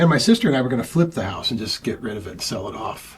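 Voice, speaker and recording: Noticeable background noise accompanies a man talking in an American accent. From US Pacific Northwest, Auburn, Washington. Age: 50s. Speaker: painter and art teacher. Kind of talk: interview, casual chat. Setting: artist's studio visit. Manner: casual, halting with fillers.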